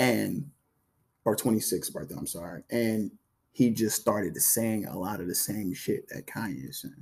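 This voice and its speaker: A man speaks fairly slowly in a fairly low voice with vocal fry. His pitch varies ordinarily, but his loudness swings a lot. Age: 20s. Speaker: podcast guest, ex-partner of host. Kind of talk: casual chat.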